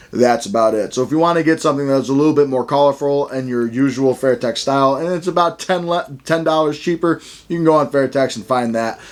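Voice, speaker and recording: A man's fairly high voice at a very fast pace, hardly any pauses, ordinary pitch variation. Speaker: combat sports gear reviewer. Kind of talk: product review. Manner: slight stutter today; enthusiastic.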